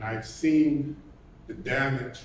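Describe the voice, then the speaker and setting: In a New York accent, a man talks at a fairly slow pace with audible room echo. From New York City. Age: 60s. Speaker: retired firefighter, community member. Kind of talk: public comment at a panel event.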